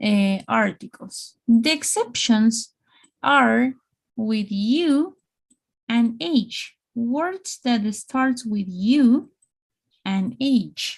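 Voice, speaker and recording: A woman with a Spanish accent at a very slow pace, fairly high-pitched, with ordinary pitch variation. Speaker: English teacher. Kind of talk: online English lesson. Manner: slow, repetitive.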